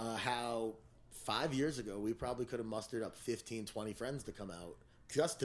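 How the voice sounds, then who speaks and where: This man has an ordinary speaking voice, medium in pitch with ordinary pitch variation, and he talks at a fairly quick pace. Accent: American. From New Jersey, Teaneck (New York City area). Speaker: music manager and show promoter. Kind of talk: casual chat.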